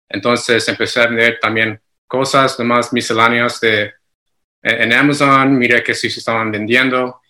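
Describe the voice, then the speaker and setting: A man speaks at a moderate pace and medium pitch. His tone is bright and sharp, his intonation monotone and flat. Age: 30s. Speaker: Amazon seller consultant. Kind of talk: interview. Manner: halting.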